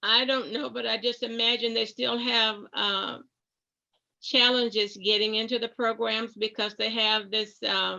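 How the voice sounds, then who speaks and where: At a fairly slow pace, a woman speaks with vocal fry in a fairly high pitch and fairly even intonation. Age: 80s+. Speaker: retired nurse and pastor. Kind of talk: oral history interview.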